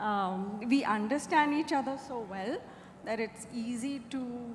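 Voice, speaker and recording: Soft-spoken and fairly high-pitched, a woman talks with ordinary pitch variation in a space with audible room echo. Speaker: screenwriter. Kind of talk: panel Q&A.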